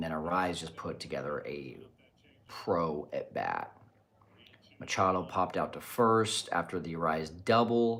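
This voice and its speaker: Quiet and at a fairly slow pace, a man speaks with a very deep, low pitch. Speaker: baseball podcast host. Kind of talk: live watch party commentary. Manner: quiet, keeping voice down.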